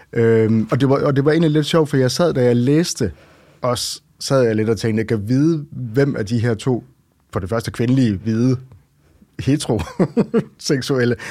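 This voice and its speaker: A man talks at a moderate pace at a medium pitch. His pitch varies in an ordinary way. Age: 40s. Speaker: romance reader. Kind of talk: casual interview. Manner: hesitant, many fillers.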